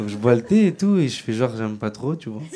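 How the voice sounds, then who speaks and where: Noticeable background noise sits behind a man speaking at a moderate pace. His medium-pitched voice has lively intonation. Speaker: stand-up comedian. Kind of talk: stand-up.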